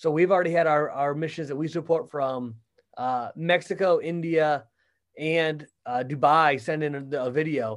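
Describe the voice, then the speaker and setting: A plain, everyday voice with an American accent moves at a moderate pace. The recording is very clean, with a silent background. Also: man, fairly high pitch for a man, ordinary pitch variation. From Michigan. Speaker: church ministry staff. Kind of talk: casual interview.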